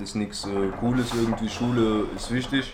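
Fairly even intonation against noticeable background noise and audible room echo. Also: man. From Germany, Duisburg (Ruhr area). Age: 20s. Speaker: former youth offender telling his life story. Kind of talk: casual chat.

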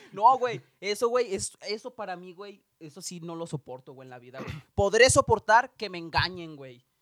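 The delivery is animated and moves at a moderate pace. There are hardly any pauses. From Mexico. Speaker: podcast co-host. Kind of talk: casual chat.

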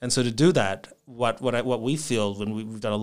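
A man at medium pitch with an Australian accent, moderate pace and ordinary pitch variation, in a very clean recording with a silent background. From Australia, Melbourne. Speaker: startup founder. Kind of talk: interview.

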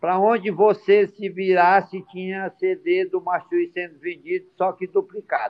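Speaking at a fairly slow pace, a man talks with hardly any pauses. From Ceará, Brazil. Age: 60s. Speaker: music entrepreneur, band founder. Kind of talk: interview.

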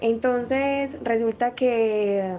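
A woman talks with a fairly high pitch. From Colombia, Medellín. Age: 20s. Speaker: physiotherapist and new mother. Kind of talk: interview testimony.

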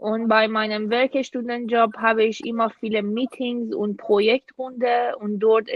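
A woman with a fairly high voice speaks at a very slow pace in a monotone, flat intonation. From Iran. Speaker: international student. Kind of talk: casual interview.

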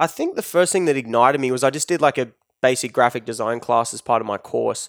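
A man with an Australian accent talks at a fairly quick pace and medium pitch with lively intonation, in a very clean, dry, close recording with a silent background and no echo. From Australia, Newcastle NSW area, rural. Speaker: celebrity photographer and digital manager. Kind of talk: casual interview. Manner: casual, laid-back.

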